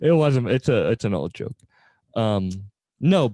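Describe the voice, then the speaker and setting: Through very wide pitch swings, a man speaks at medium pitch and a fairly slow pace in a dark, mellow tone. The sound is dry and close, with no echo. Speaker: podcast host. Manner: casual, joking.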